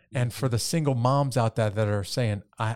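In a very clean recording with a silent background, a man with an ordinary speaking voice talks at a moderate pace and medium pitch, with ordinary pitch variation. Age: 50s. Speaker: podcast host. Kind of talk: interview podcast.

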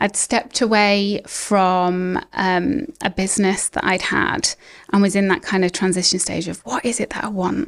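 A woman with a British accent at medium pitch, moderate pace and ordinary pitch variation, on a very clean recording with a silent background. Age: 40s. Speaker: ADHD coach. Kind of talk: interview.

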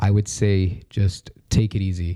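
A man's fairly low, somewhat breathy voice with a dark, mellow tone. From Dubai. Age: 20s. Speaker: podcast studio operator. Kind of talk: casual chat.

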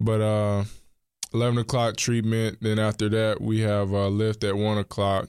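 In a very clean recording with a silent background, a man with an American accent speaks at a moderate pace in a fairly low pitch, with very even loudness and monotone, flat intonation. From North Carolina, Charlotte. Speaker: college football quarterback. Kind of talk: interview.

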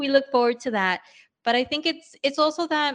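Against a quiet background, a woman talks in an animated tone with a New York accent. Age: 40s. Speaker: entrepreneur and podcaster. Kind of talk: casual interview chat.

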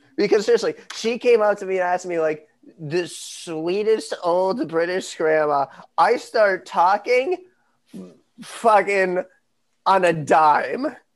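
An American accent at a very slow pace. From United States. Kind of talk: casual chat.

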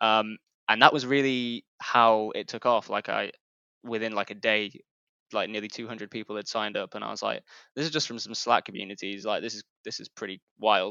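This man has an unremarkable speaking voice at medium pitch, keeping a moderate pace and fairly even intonation while his loudness swings widely. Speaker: newsletter founder. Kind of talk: casual interview chat.

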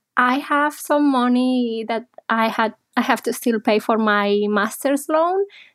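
Someone with a slight Spanish accent speaks at a fairly slow pace with very even loudness on a very clean recording with a silent background. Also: woman, high pitch for a woman, ordinary pitch variation. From Spain (Barcelona). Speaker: psychologist. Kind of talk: interview.

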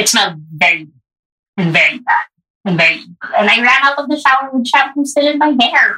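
A woman projects her raised, high voice with a bright, sharp tone, fairly quick pace and very wide pitch swings. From Philippines, Baguio. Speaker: writer in public health. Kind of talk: casual interview.

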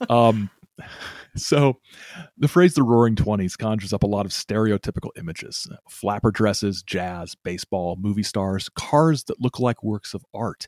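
A man with an ordinary speaking voice talks at a moderate pace in a fairly low pitch. His pitch variation is ordinary, and the sound is dry and close with no echo. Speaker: podcast host. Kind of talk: casual chat.

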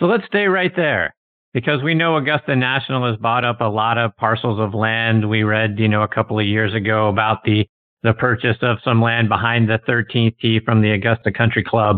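A plain, everyday voice moves at a fairly quick pace with very even loudness and ordinary pitch variation. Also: man, medium pitch for a man. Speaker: golf radio host. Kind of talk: radio interview with ad reads.

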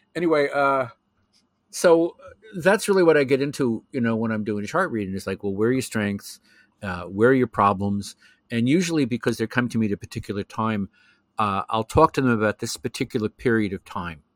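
Speaking at a fairly quick pace and a medium pitch in a plain, everyday voice, a man is heard in a very clean recording with a silent background and a dry, close sound with no echo. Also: lively intonation. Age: 60s. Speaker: professional astrologer. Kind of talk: casual interview conversation.

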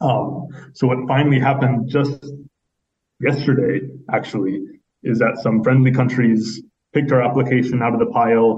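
A man speaks in a somewhat breathy voice with a dark, mellow tone, keeping a moderate speed. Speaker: human rights advocate. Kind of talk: interview.

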